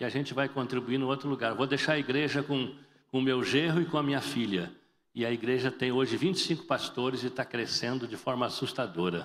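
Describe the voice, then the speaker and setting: Talking at a fairly quick pace, a man uses a medium pitch with vocal fry and ordinary pitch variation. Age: 60s. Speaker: pastor. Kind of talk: sermon. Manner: animated.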